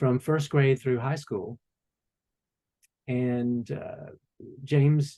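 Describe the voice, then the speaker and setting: Speaking very slowly with long, frequent pauses, a man with an American accent has a somewhat breathy, dark, mellow tone at medium pitch and fairly even intonation. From Warm Springs, Georgia, US. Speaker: author, former stage actor. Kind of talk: interview answer.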